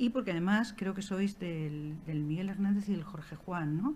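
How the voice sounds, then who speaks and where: A woman's somewhat breathy voice with a dark, mellow tone, ordinary pitch variation and a fairly slow pace. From Alicante, Spain. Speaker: archaeologist and historian. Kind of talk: talk to school students.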